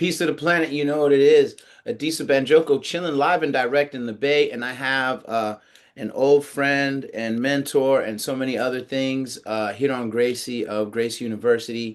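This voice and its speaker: A man with an American accent and an ordinary speaking voice, ordinary pitch variation, a moderate pace and a quiet background. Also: medium pitch for a man. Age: 50s. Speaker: podcast host, interviewer. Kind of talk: interview. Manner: casual, with frequent fillers.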